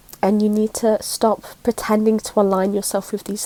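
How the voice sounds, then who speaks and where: A woman's fairly high, monotone voice with flat intonation, dry and close with no echo, amid noticeable background noise. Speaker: spiritual content creator. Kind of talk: casual talk to camera.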